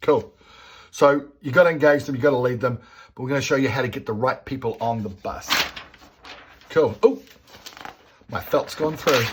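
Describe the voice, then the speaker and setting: With an Australian accent, a man speaks at a fairly high pitch in an animated tone, with ordinary pitch variation, big swings in loudness and long, frequent pauses. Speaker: business coach. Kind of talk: whiteboard tutorial. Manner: fast.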